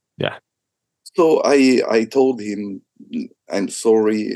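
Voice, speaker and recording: A man with a Japanese accent, in a dry, close sound with no echo. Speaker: business executive. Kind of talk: interview.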